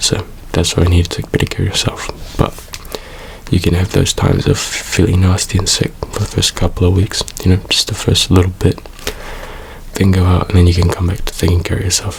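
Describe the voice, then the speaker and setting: This man's voice is very deep and low, soft-spoken and relaxed, with a calm tone. He talks at a fairly quick pace in a flat monotone over noticeable background noise. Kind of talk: ASMR soft spoken comfort talk to camera. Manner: soft-spoken, relaxed, calm.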